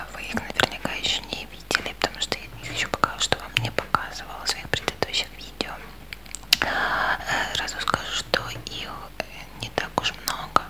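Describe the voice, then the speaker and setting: Whispering at a moderate pace with long, frequent pauses, a woman's voice shows big swings in loudness over noticeable background noise. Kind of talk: ASMR whispered show and tell. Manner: whispered.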